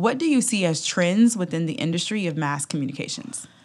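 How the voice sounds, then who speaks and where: Here is a woman with an American accent and a plain, everyday voice, pitched fairly low and moving at a moderate pace. The recording is very clean, with a silent background. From Atlanta, US South. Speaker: podcast host. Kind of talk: casual interview. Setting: conference.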